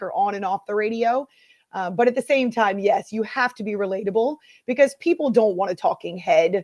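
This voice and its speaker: A woman's fairly high voice at a fairly quick pace, with ordinary pitch variation and a dry, close sound with no echo. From US Northeast. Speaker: sports radio host. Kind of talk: casual interview chat. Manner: fast talker; takes pauses on air.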